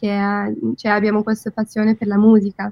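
A woman speaks with an English accent. The sound is dry and close, with no echo. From London, England. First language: English (speaking Italian). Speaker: content creator. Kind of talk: radio interview. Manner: halting.

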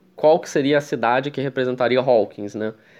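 A man talks at a fairly quick pace with a medium pitch, ordinary pitch variation and a plain, everyday voice against a quiet background. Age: 20s. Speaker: podcast host. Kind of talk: casual chat.

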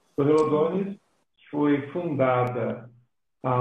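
A man at a fairly high pitch and very slow pace, with ordinary pitch variation and audible room echo. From Brazil, Belo Horizonte. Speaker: pastor and missionary. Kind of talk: interview in a live stream.

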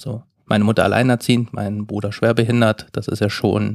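Recorded in a dry, close sound with no echo, a man speaks at a fairly low pitch and moderate pace with monotone, flat intonation. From eastern Germany, Saxony-Anhalt. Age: 30s. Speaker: management consultant. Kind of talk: casual chat.

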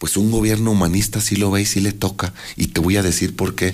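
In a fairly low pitch, a man talks at a very fast pace. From Aguascalientes, Mexico. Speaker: mayoral candidate. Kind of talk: radio interview.

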